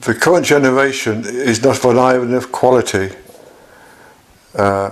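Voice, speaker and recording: Noticeable background noise accompanies a man whose medium pitch shows ordinary variation. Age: 70s. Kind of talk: personal video diary monologue. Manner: halting.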